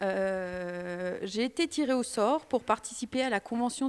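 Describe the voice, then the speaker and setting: The sound is dry and close, with no echo. A woman talks at a fairly high pitch with ordinary pitch variation. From Île-de-France (Yvelines). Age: 40s. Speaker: local politician, mayor and candidate. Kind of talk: press conference self-introduction. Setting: press conference. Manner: hesitant, many fillers.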